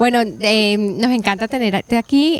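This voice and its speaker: With a plain, everyday voice, a woman at a fairly high pitch talks at a fairly slow pace with fairly even intonation, in a dry, close sound with no echo. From Colombia, Cartagena (Caribbean coast). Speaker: podcast host. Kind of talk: casual interview chat.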